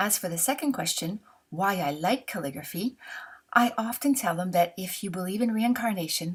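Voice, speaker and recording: A woman with a Canadian French accent talks at a moderate pace in a somewhat breathy, medium-pitched voice with lively intonation. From Canada. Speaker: calligraphy instructor. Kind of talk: tutorial.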